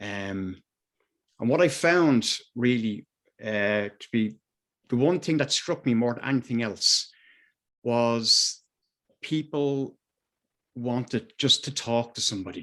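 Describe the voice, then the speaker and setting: Very slow speech from a man with an Irish accent, medium pitch, ordinary pitch variation, long, frequent pauses and a quiet background. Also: big swings in loudness. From Ireland, Dublin. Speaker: mental health advocate. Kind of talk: personal testimony at a video meeting. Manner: halting, many fillers.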